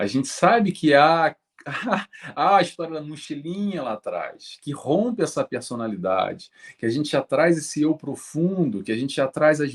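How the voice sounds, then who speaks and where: A man speaks with a Brazilian accent in a fairly high voice. His pitch swings very widely. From Brazil, Rio de Janeiro. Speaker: spiritist speaker on psychology. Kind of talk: interview.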